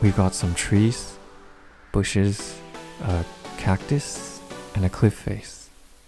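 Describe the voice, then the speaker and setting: Music plays behind the voice. The speaker is a man with a fairly low pitch. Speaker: indie game developer. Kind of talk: casual talk to camera.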